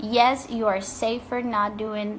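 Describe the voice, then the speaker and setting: A woman's fairly high voice carries audible echo from the room. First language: not English. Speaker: life coach and author. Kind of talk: motivational talk to camera.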